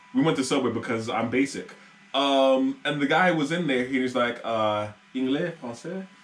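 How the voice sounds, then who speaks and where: A man with an American accent talks against noticeable background noise. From United States. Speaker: podcast host. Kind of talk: casual chat.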